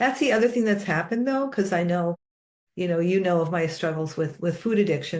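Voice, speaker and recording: A woman speaks at a fairly low pitch. Her pitch varies in an ordinary way. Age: 60s. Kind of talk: casual conversation.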